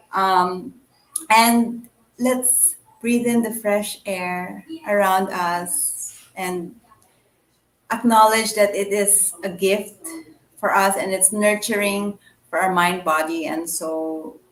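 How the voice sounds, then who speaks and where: A woman with a Filipino accent speaks at a very slow pace in a medium pitch, with ordinary pitch variation and long, frequent pauses. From Philippines, Manila. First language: Tagalog. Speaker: writer and blogger. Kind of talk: interview chat. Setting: online live stream. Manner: halting, many fillers.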